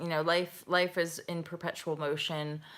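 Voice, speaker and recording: A woman with a Canadian accent, fairly slow and monotone in a flat way. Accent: Canadian, heard as American by Brits. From Canada. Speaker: spiritual life coach. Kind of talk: live chat answering viewer comments. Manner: casual, rambling with many fillers.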